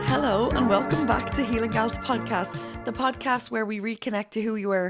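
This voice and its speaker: A woman at medium pitch and a fairly quick pace, hardly any pauses, music in the background. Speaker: podcast host. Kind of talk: podcast intro.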